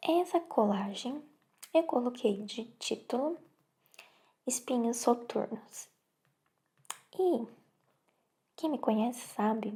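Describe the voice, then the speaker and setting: This woman is soft-spoken, with a dark, mellow tone and a high pitch. She talks at a very slow pace with ordinary pitch variation. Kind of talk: ASMR soft-spoken show and tell.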